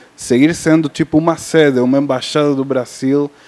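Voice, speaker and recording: In a non-native accent, a man speaks with monotone, flat intonation. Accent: foreign accent in Portuguese. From Cuba. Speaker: film sales and distribution agent. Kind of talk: panel discussion. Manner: halting, many fillers.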